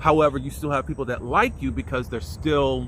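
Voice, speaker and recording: A man talks at a moderate pace. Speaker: YouTube TV show reviewer. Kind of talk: solo TV episode review.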